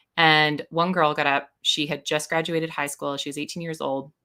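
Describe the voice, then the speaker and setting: A woman speaks with a Canadian accent, her pitch very deep and low, her tone bright and sharp. The pace is fairly quick, and the recording is very clean with a silent background. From Canada, British Columbia (Vernon). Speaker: educator and assessment consultant. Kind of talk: podcast interview.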